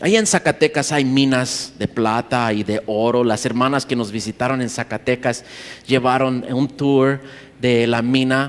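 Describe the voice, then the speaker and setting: The man's delivery is fairly slow. His voice rests at a medium pitch. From USA, Mexican parents. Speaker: pastor. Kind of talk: sermon. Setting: conference stage with audience. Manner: halting.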